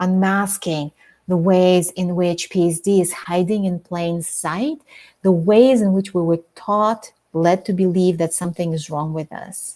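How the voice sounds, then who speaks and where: A woman with a non-native accent speaks at a fairly slow pace. Her voice is medium in pitch with ordinary variation, recorded very cleanly over a silent background. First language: not English. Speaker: author and trauma coach. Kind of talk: interview.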